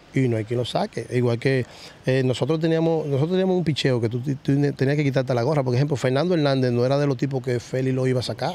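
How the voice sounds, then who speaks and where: Here a man speaks very fast at a medium pitch, with ordinary pitch variation. His loudness stays very even, and the sound is dry with no echo. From Dominican Republic, Villa Vásquez (Cibao); Dominican Republic. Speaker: retired baseball player; guest. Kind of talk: interview. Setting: baseball stadium field. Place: stadium.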